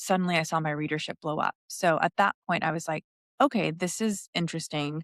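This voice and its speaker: A woman with a fairly low pitch on a very clean recording with a silent background, in a dry, close sound with no echo. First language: Spanish. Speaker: interior designer and podcast co-host. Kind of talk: casual interview chat.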